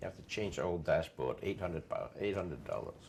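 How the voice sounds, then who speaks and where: American-accented male speech. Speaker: car literature collector. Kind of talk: oral history interview. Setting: at home.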